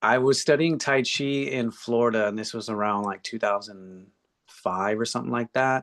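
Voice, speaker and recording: This man has a plain, everyday voice, speaking with an American accent at medium pitch and a moderate pace, with ordinary pitch variation. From Texas, San Antonio. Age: 60s. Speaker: tai chi and qigong teacher. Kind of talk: interview.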